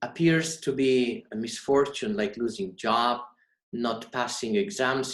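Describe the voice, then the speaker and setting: With a Polish accent, a man speaks at a medium pitch and fairly slow pace, using lively intonation. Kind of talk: sermon. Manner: formal.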